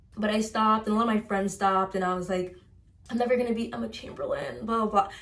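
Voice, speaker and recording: A woman with an American accent talks at a very fast pace and a fairly high pitch. Her tone is animated, over noticeable background noise. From US Midwest, Chicago suburbs. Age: 20s. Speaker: lifestyle vlogger. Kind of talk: casual chat.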